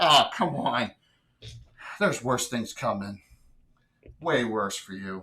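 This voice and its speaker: Cackling in a put-on character voice, the speaker keeps a low-to-middle pitch at a fairly slow pace, with long, frequent pauses. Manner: cackling, menacing.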